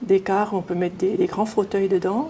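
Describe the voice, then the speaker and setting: A woman speaks at a medium pitch with a slight Swiss German accent and ordinary pitch variation, over noticeable background noise. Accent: slight Swiss German tinge. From Ajoie, Swiss Jura, then German-speaking Switzerland. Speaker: nun, pilgrimage organizer. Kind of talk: interview.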